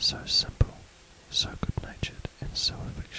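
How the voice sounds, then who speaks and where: A man whispers over noticeable background noise. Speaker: whispered bedtime reader. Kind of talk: sleep story / audiobook reading. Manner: whispered, soft.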